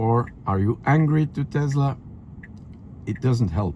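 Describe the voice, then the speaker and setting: With a dark, mellow tone and a somewhat breathy quality, a man speaks at a very slow pace. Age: 70s. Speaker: YouTuber and retired automotive engineer. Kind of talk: casual driving vlog commentary. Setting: in a car.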